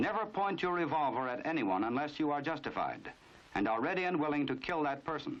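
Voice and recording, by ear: A man speaks at a fairly high pitch with big pitch swings. His tone is fairly bright and his pace fairly quick.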